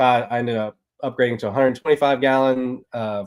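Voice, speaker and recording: The speaker has a Texan accent. Intonation is fairly even. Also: man. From Texas. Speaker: ball python keeper, military service member. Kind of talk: casual chat.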